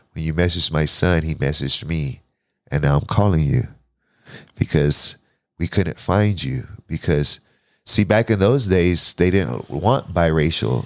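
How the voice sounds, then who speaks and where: Very deep and low, the man's voice carries vocal fry and lively intonation. He moves at a fairly slow pace with long, frequent pauses. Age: 40s. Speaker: podcast host. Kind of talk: casual interview.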